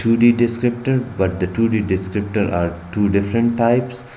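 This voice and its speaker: A man's voice with noticeable background noise and audible room echo. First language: not English. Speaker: bioinformatics instructor. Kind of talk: tutorial. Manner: halting.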